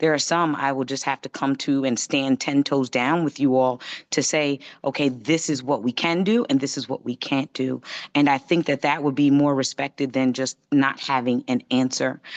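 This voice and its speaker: A woman with a very deep, low voice is heard in a dry, close recording with no echo against a quiet background. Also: fairly even intonation. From New York. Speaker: county government official. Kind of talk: virtual community meeting remarks. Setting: video call. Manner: fast.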